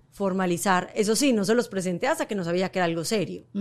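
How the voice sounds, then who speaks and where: A woman's voice over noticeable background noise. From Colombia. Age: 40s. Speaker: model and entrepreneur. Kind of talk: casual chat.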